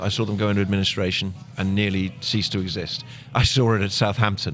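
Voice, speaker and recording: A man speaks with an English accent at a fairly low pitch. His pace is moderate. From Plymouth, England. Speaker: soccer commentator. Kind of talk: podcast interview answer.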